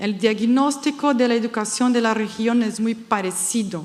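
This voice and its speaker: A woman speaks with a Brazilian accent and a fairly high pitch. Audible room echo fills the recording. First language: Portuguese (speaking Spanish). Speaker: education expert, panel speaker. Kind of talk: conference talk. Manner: halting.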